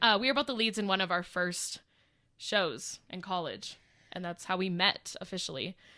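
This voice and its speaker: A woman with medium pitch speaks loudly in a bright, sharp tone at a moderate pace. The recording is very clean with a silent background. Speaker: podcast co-host. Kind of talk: casual chat.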